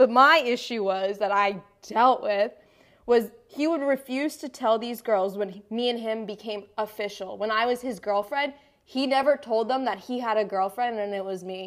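An ordinary speaking voice from a woman at a moderate pace, with ordinary pitch variation. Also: fairly high pitch for a woman. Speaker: podcast co-host. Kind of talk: casual chat.

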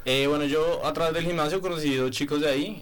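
Amid noticeable background noise, a man talks at a very fast pace with fairly even intonation. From Bogotá, Colombia. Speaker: master's student, sociologist. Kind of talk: radio panel discussion.

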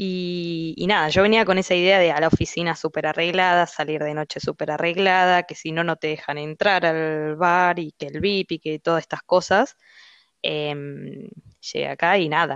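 A woman with a normal speaking voice, fairly low-pitched, at a moderate pace with fairly even intonation, in a dry, close sound with no echo and a quiet background. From Argentina. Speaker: finance professional living abroad. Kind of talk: casual interview chat.

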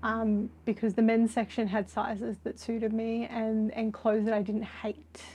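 A woman with an Australian accent, a fairly high pitch, a dark, mellow tone, a somewhat breathy quality and a fairly slow pace. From Australia, Sydney. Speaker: artist. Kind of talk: interview conversation. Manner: hesitant, many filler words.

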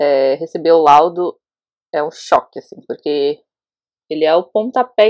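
A woman speaks with very wide swings in pitch. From Brazil, Osasco, São Paulo. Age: 30s. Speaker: interviewee sharing personal experience. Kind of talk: testimony.

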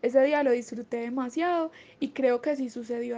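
Speaking at a fairly quick pace, a woman has a high pitch and ordinary pitch variation. Her tone is dark and mellow. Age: 20s. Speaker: graphic designer and illustrator.

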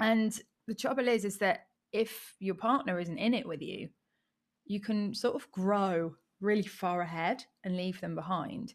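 A woman with an English accent at a fairly slow pace, on a very clean recording with a silent background. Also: medium pitch for a woman, ordinary pitch variation. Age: 30s. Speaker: online business coach. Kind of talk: interview. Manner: animated.

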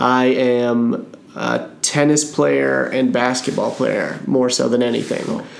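Against noticeable background noise, a man with an American accent speaks at a very slow pace with hardly any pauses. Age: 30s. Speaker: podcast host. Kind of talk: casual interview.

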